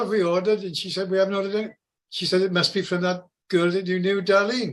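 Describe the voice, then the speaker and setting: The voice moves at a very fast pace with fairly even intonation over a quiet background. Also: man. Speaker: product testimonial giver. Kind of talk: testimony.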